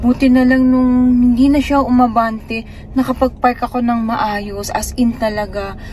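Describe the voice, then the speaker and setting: Over noticeable background noise, a woman talks fairly slowly in a monotone, flat intonation. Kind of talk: casual vlog talk.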